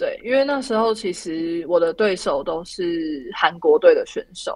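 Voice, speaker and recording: Speaking at a very slow pace, the woman uses lively intonation. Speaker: Olympic luge athlete. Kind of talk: interview. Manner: halting, many fillers.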